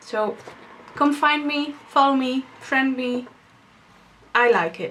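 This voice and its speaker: With a Dutch accent, a woman speaks at a very slow pace in a high pitch with ordinary pitch variation, and noticeable background noise is present. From Netherlands. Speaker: podcast host, knitter and yarn dyer. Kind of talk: casual video podcast monologue. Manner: halting, with pauses and umming.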